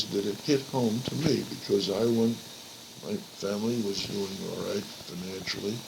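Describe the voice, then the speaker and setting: Noticeable background noise sits behind a man who speaks fairly slowly at a medium pitch with lively intonation. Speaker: grandfather being interviewed about his life. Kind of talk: interview answer, recalling life history. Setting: old cassette recording, poor quality. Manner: slow, hesitant, with pauses and fillers.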